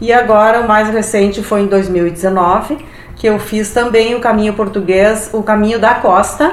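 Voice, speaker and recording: A woman's fairly high, fairly slow voice amid noticeable background noise and audible room echo. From Brazil, Rio Grande do Sul (Passo Fundo area). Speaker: hiking enthusiast. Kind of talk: casual interview. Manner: halting, with filler repetitions.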